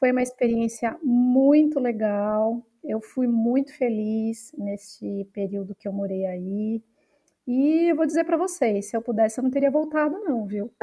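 In an unremarkable speaking voice, a woman talks at a fairly slow pace, her fairly high pitch carried by lively intonation. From Brazil, São Paulo city. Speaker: researcher. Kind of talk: interview conversation.

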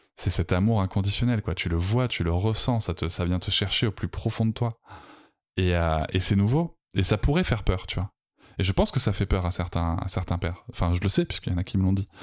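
At a fairly quick pace, a man speaks in a very deep, low voice, with a dry, close sound with no echo and a very clean recording over a silent background. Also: ordinary pitch variation. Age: 40s. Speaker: parenting podcaster and coach. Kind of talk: personal testimony interview. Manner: hesitant, many fillers.

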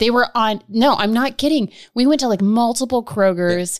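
In a normal speaking voice, a woman talks at a moderate pace with lively intonation and a fairly high pitch, the sound dry and close with no echo. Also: very clean recording, silent background. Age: 30s. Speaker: financial education manager. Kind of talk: casual chat.

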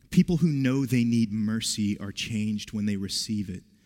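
A man with an American accent and an ordinary speaking voice speaks fairly slowly at a fairly low pitch with ordinary pitch variation. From West Virginia. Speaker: pastor. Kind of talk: sermon.

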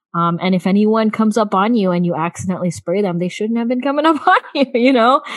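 A woman with an American accent talks at a very fast pace with hardly any pauses, her fairly high voice carrying lively intonation. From US South, South Florida. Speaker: podcast host, mother. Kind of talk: casual chat.

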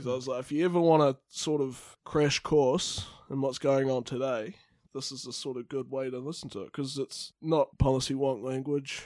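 A man with a New Zealand accent at medium pitch, fairly quick in pace and fairly even in intonation. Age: 20s. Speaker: student and podcast co-host, former radio worker. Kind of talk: casual chat; reading aloud.

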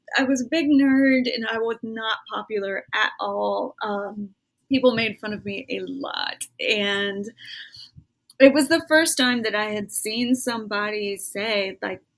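In an American accent, a woman uses an unremarkable speaking voice at a fairly high pitch, with ordinary pitch variation and a fairly slow pace. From Alabama, US South. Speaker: writer and poet. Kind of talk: interview conversation.

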